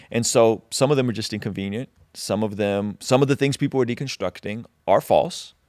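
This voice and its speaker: A man speaks at a fairly quick pace in a normal speaking voice, with medium pitch and ordinary pitch variation. The recording is very clean, with a silent background and a dry, close sound with no echo. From Azerbaijan (Baku), raised in US. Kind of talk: interview conversation.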